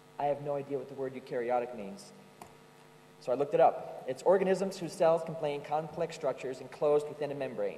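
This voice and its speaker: A man talks at a fairly quick pace in a fairly high voice with ordinary pitch variation. Room echo is audible. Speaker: yeast company tech support specialist, conference presenter. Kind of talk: conference presentation. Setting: stage with audience at a conference. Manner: casual, joking, with frequent um and uh fillers.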